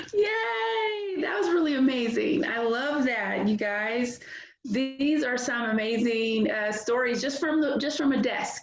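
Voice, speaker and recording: Fairly slow, high-pitched speech from a woman with lively intonation, with audible room echo and noticeable background noise. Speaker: writers club organizer. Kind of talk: meeting announcements. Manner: animated.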